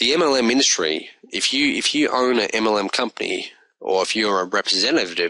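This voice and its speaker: With an Australian accent, a man speaks at a fairly quick pace in a medium pitch, his bright, sharp tone carrying lively intonation at very even loudness. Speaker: online business reviewer. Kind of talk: video review monologue. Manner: casual.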